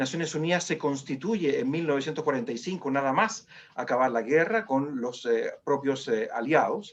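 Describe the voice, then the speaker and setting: A man's fairly high voice with a Chilean accent, lively intonation and a moderate pace. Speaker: human rights foundation director. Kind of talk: webinar presentation. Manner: halting, many fillers.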